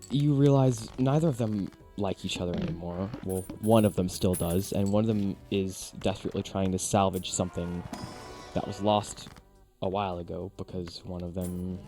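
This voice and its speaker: Music plays in the background while a man speaks at a moderate pace. His voice has a very deep, low pitch and ordinary pitch variation. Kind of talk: casual talk to camera. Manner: natural everyday tone, not the softer girly voice.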